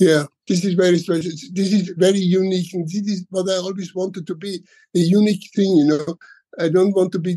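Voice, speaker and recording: A man talks at a fairly quick pace in a high, monotone voice. His tone is dark and mellow. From Austria, Tyrol (Ischgl area). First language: German. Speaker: hotelier and entrepreneur. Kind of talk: interview. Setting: remote call. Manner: halting, many repeated words.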